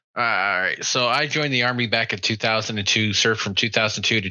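A man with an unremarkable speaking voice keeps his intonation fairly even as he talks at a moderate pace. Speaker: army veteran. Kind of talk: casual chat.

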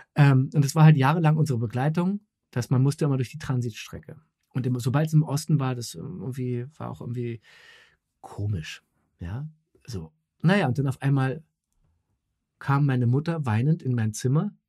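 At a moderate pace, a somewhat breathy voice with a dark, mellow tone speaks with long, frequent pauses. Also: man, medium pitch for a man, ordinary pitch variation, big swings in loudness. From West Berlin. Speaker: actor and voice actor. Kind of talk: casual chat. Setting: home recording booth via online call.

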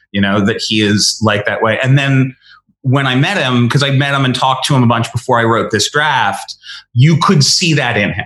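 A man's normal speaking voice at medium pitch, with an American accent, ordinary pitch variation and a moderate pace. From Connecticut, US. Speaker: screenwriter. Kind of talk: interview. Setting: remote interview from home.

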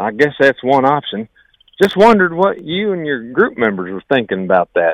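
A man with an American accent, fairly high in pitch, at a moderate pace with very wide pitch swings. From Ohio, US. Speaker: school teacher and state government worker, caller. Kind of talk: casual call-in message. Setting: phone call.

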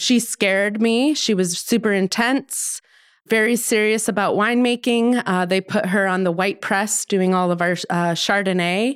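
With an American accent, a woman speaks in an unremarkable speaking voice at medium pitch, moderate pace and ordinary pitch variation, on a very clean recording with a silent background. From Colorado, US (suburbs south of Denver). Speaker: winemaker. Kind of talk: casual chat.

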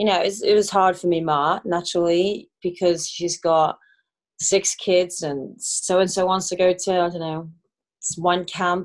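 Speaking with a Welsh accent, a woman keeps a fairly low pitch, a moderate pace and monotone, flat intonation. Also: quiet background. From Wales. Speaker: professional soccer player. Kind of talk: casual interview.

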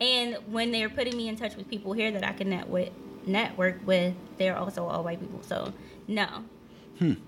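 Over noticeable background noise, a woman with an American accent speaks at a moderate pace, her medium-pitched voice fairly even in intonation. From northern New Jersey. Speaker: CBD oil seller. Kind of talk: casual chat.

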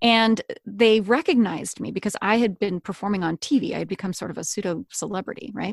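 An ordinary speaking voice with an American accent moves at a moderate pace with ordinary pitch variation, dry and close with no echo against a quiet background. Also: woman. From North Carolina, US South. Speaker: author, storytelling coach and narrator. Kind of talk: interview conversation.

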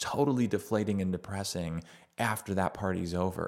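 An ordinary speaking voice, a man at a fairly low pitch, moderate pace and fairly even intonation, on a very clean recording with a silent background. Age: 40s. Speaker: father interviewing his son, podcast host. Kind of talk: casual chat.

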